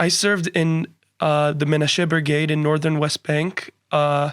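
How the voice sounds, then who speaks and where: A man talks with a New Jersey accent at a fairly high pitch. The recording is very clean, with a silent background. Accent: American English (New Jersey). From New Jersey, US. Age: 20s. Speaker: university student. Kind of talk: podcast interview.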